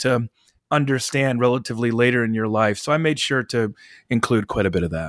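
A man with an ordinary speaking voice at a fairly quick pace, dry and close with no echo, over a quiet background. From US Midwest. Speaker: author and journalist. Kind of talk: interview.

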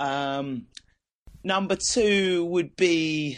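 Against a quiet background, a man with an Essex accent speaks with ordinary pitch variation. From Essex, East England. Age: 20s. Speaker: band vocalist. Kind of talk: casual interview. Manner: halting.

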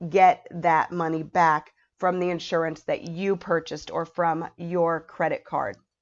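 A woman speaks at a very slow pace. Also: quiet background. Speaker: podcast host and tour guide. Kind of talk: casual solo podcast monologue. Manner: halting, frequent ums and restarts.

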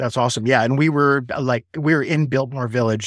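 On a very clean recording with a silent background, a man talks, his pitch varying in an ordinary way. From Chicago, US Midwest. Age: 40s. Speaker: small business owner. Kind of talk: interview.

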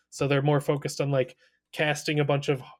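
A fairly high male voice with a somewhat breathy quality. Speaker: podcast co-host. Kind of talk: casual podcast discussion.

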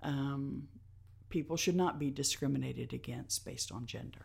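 A woman with a Tennessee accent speaks at a very deep, low pitch with vocal fry. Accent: Southern US (Tennessee). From US South, Nashville, Tennessee. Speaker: nonprofit executive director. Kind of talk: interview. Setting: live recording at a venue.

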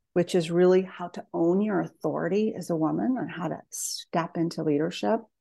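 A woman speaks at a moderate pace with hardly any pauses. Her voice is fairly low in pitch, dark and mellow in tone, with ordinary pitch variation. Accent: American. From US Southwest, northern New Mexico. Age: 50s. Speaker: psychotherapist and author. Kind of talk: interview conversation.

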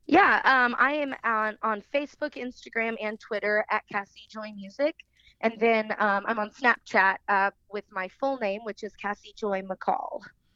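A woman's bright, sharp voice at fairly high pitch, with ordinary pitch variation and a fairly slow pace. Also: dry, close sound with no echo. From Kansas City, Missouri. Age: 20s. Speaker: country singer. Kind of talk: casual interview.

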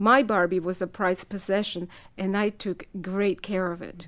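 With a Spanish accent, a woman speaks at a medium pitch and a fairly slow pace in a very clean recording with a silent background. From El Salvador. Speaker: writer. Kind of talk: reading aloud.

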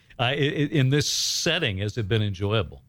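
A man talks at a moderate pace with vocal fry and very wide pitch swings. The recording is very clean, with a silent background. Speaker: radio and podcast host. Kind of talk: interview. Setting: studio.

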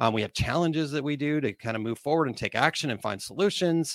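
Very fast, energetic and enthusiastic delivery with ordinary pitch variation, dry and close with no echo, on a very clean recording with a silent background. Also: man. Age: 40s. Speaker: podcast host and business coach. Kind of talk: solo monologue on small business. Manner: energetic, enthusiastic.

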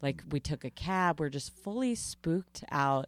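With an American accent and lively intonation, a woman talks at a fairly slow pace on a very clean recording with a silent background. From Long Island, New York. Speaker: comedian and podcaster. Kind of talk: casual interview chat.

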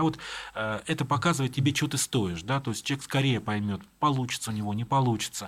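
Moving at a fairly quick pace, a man with an unremarkable speaking voice shows ordinary pitch variation. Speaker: writer. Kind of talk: interview.

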